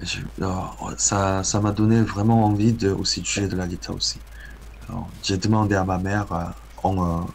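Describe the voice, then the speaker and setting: Speaking with a Korean accent, a man with a fairly low pitch keeps a moderate pace and fairly even intonation, taking long, frequent pauses amid audible room echo. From South Korea. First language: Korean (speaking French). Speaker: guitarist and composer. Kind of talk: interview. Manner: halting, many hesitations.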